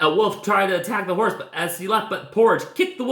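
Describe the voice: Ordinary pitch movement in a plain read-aloud delivery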